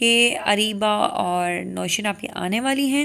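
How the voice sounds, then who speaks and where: A woman speaks at a fairly high pitch. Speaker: cooking vlogger. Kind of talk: casual vlog talk.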